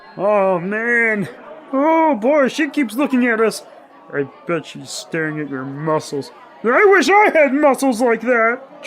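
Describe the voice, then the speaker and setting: Putting on a character voice, a man speaks fairly slowly at an extremely high pitch with very wide pitch swings, over clear background noise. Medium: audio drama. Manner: excitable, stammering.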